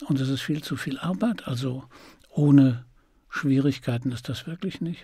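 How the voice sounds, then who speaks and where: Vocal fry runs through this man's fairly slow speech. His pitch variation is ordinary, and the background is quiet. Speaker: voice actor and audiobook narrator. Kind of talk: interview answer. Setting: interview. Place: studio. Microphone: studio mic.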